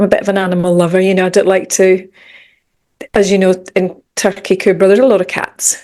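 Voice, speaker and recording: In a Scottish accent, a woman talks at a fairly quick pace. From Scotland, Edinburgh. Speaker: mindset coach and meditation teacher. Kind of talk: podcast interview.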